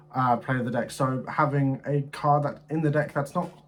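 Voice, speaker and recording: A somewhat breathy male voice, fairly high in pitch, at a moderate pace. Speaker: gaming content creator. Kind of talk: deck review commentary.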